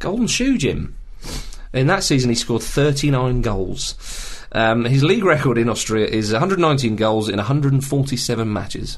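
With a British accent, a man speaks very slowly. His pitch is fairly high and his intonation lively. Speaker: football podcast host. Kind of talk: casual chat.

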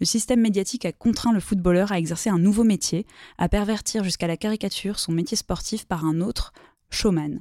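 A woman's dark, mellow voice at a fairly quick pace, with ordinary pitch variation, in a very clean recording with a silent background and a dry, close sound free of echo. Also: medium pitch for a woman. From southern France, Toulouse. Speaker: journalist and podcast host. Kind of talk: interview; reading aloud.

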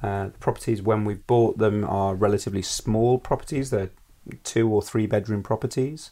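A man speaks at a fairly low pitch in a dark, mellow tone with fairly even intonation. The recording is very clean, with a silent background. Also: moderate pace. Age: 30s. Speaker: presentation coach and property investor. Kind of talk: casual interview at home. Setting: at his home.

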